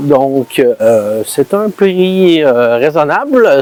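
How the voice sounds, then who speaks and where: Someone with a Quebec accent talks with lively intonation over noticeable background noise. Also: man. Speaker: food vlogger. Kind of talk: casual vlog. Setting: restaurant. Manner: halting, stammering.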